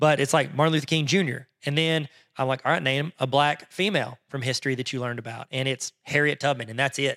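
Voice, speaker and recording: Very fast and fairly even in intonation, a man talks with a fairly high pitch and a bright, sharp tone. The recording is very clean with a silent background and a dry, close sound with no echo. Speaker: podcast co-host. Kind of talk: casual chat.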